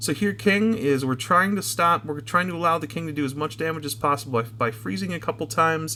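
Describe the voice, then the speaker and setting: Very fast, fairly high-pitched speech from a man, full of very wide pitch swings, with noticeable background noise. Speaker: gaming YouTuber. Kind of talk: gameplay commentary tutorial. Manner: filler-heavy, frequent um and uh.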